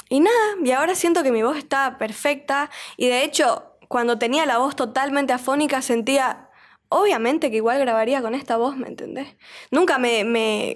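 Against a quiet background, a woman speaks in a high voice at a moderate pace. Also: ordinary pitch variation. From Bolivia, Santa Cruz de la Sierra; Bolivia. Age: 20s. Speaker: singer; podcast guest. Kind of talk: casual interview. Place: studio. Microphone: studio mic.

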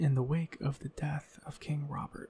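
Soft-spoken, a man talks with a dry sound with no echo over light background noise. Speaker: ASMR creator. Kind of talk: ASMR lore reading; casual chat. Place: home room. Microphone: studio mic.

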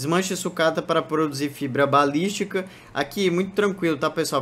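This is a man's voice. It shows ordinary pitch variation. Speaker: gaming YouTuber. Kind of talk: gameplay tutorial commentary. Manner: casual, filler-heavy.

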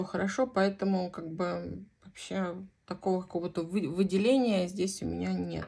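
The tone of this woman's medium-pitched voice is dark and mellow. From Central Russia, Voronezh region. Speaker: knitting vlogger. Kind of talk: casual chat.

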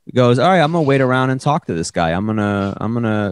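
A man at a very fast pace, lively intonation, dry sound with no echo. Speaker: podcast guest, comedian. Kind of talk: casual comedic podcast chat. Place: home room. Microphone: handheld.

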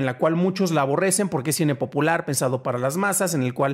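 A man speaks at a fairly quick pace with quiet in the background. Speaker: podcast host, film commentator. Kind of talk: commentary on film history. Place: home room. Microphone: studio mic.

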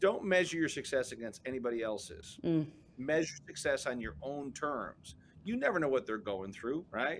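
The speech moves at a fairly quick pace with ordinary pitch variation. Light background noise is present. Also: man. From Chicago, South Side; Chicago. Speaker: business coach and entrepreneur; interview guest. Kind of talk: interview. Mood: upbeat, storytelling. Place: office.

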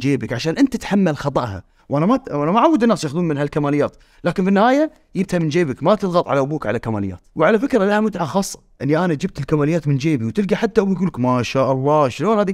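A man talks at a very fast pace, high-pitched and swinging very widely in pitch. The background is quiet. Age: 30s. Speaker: podcast host. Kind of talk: casual chat. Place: studio.

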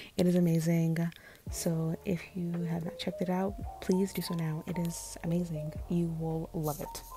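A soft-spoken woman at a moderate pace, monotone and flat in intonation, with noticeable background noise. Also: fairly low pitch for a woman. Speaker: beauty vlogger. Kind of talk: makeup tutorial voiceover.

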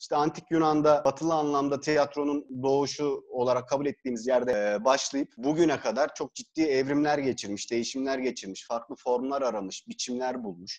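In a quiet background, a man talks at a fairly quick pace. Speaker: guest. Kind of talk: interview answer. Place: home room. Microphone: earbuds.

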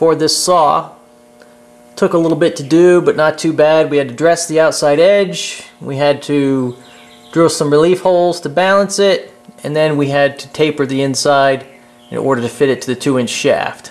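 A man is speaking here. His pace is moderate and his pitch variation ordinary. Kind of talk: tutorial walkthrough. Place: workshop. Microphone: phone near.

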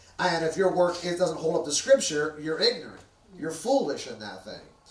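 With lively intonation, a man talks amid audible room echo. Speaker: preacher. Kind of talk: sermon. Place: church.

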